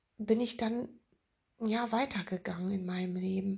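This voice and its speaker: Somewhat breathy, a woman speaks at a very slow pace. Her pitch is medium. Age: 50s. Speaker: spiritual podcast host and author. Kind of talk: spiritual monologue.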